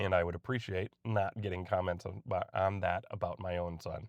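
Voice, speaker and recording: This man's voice is very deep and low in pitch, with fairly even intonation. He talks at a moderate pace against a quiet background. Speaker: vlogger. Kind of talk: casual monologue. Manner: hesitant.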